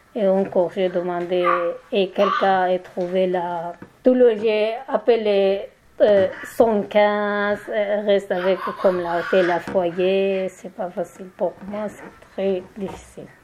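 A woman at a very slow pace, fairly even intonation, and big swings in loudness. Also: medium pitch for a woman. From Turkey, Kurdish. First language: Kurdish and Turkish (speaking French). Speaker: migrant woman, language learner. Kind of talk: roundtable testimony. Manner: halting.

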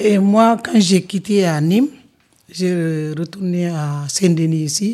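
Very slow in pace, a woman speaks at a fairly low pitch with a dark, mellow tone. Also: ordinary pitch variation. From Senegal. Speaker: community cook, association member. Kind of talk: live panel discussion. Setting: live event in a community house. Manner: halting.

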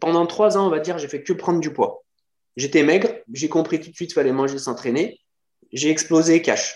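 A high-pitched man talks at a moderate pace with ordinary pitch variation. He leaves long, frequent pauses. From France, Lyon. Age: 40s. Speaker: fitness coach and natural bodybuilder. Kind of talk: casual chat.

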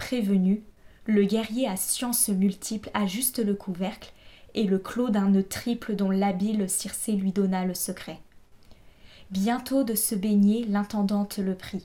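Very slowly, a woman speaks in a monotone, flat way, her medium-pitched voice somewhat breathy with a dark, mellow tone. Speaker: audiobook narrator. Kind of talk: dramatic audiobook narration of epic verse. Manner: solemn, theatrical, measured.

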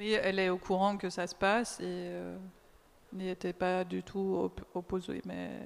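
A woman speaks with a German accent against noticeable background noise. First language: German (speaking French). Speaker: translator and sound artist. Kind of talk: public talk discussion.

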